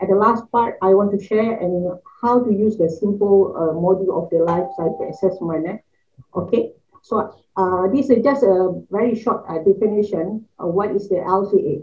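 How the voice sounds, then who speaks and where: A woman with a Malaysian accent, a medium pitch, a somewhat breathy sound, ordinary pitch variation, and a moderate pace. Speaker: university lecturer. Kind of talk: conference presentation. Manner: halting, many fillers. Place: home room.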